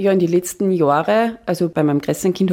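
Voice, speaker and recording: This woman has an ordinary speaking voice with a fairly low pitch. She talks at a fairly quick pace. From Austria, Upper Austria. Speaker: financial planning expert. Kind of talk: radio interview.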